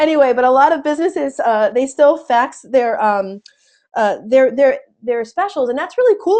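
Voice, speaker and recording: In an American accent, a woman speaks at a high pitch and a fairly quick pace with lively intonation and a dark, mellow tone against a quiet background. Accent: New Jersey accent, strong after weekend visit. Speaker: sales trainer. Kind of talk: webinar training. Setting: webinar. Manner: animated.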